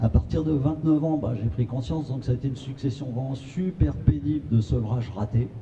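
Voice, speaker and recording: A man's fairly quick, lively-toned speech with hardly any pauses, over noticeable background noise. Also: medium pitch for a man. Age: 60s. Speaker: patient association secretary. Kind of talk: testimony at a conference.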